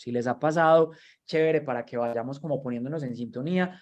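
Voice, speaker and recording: A normal speaking voice with ordinary pitch variation comes through against a quiet background. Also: man. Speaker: workshop trainer. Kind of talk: online training lecture.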